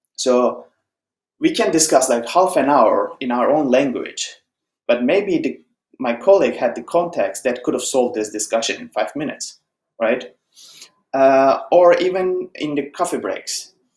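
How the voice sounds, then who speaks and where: A man with a Turkish accent is speaking. He keeps a moderate pace. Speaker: software engineer, conference speaker. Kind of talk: conference talk. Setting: online conference presentation. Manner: conversational, with filler words.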